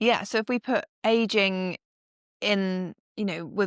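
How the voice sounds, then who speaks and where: A woman's medium-pitched voice at a fairly slow pace with fairly even intonation, dry and close with no echo, on a very clean recording with a silent background. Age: 30s. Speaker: strength and conditioning coach. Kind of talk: casual chat.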